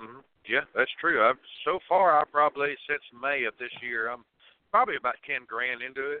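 A man talks at a moderate pace and a fairly high pitch. His pitch variation is ordinary, but his loudness swings a lot. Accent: Southern US. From Tennessee. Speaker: truck driver. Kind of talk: call-in question. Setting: phone call.

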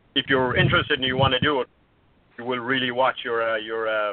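At a very fast pace, a man in an Irish accent talks with a medium pitch amid noticeable background noise. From Ireland. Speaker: caller. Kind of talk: casual chat.

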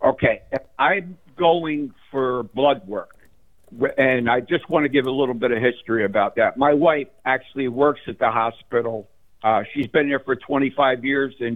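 With an American accent, a man talks at a fairly slow pace, at medium pitch and with ordinary pitch variation. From New Jersey. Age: 60s. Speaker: caller. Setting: phone call. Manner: excitable.

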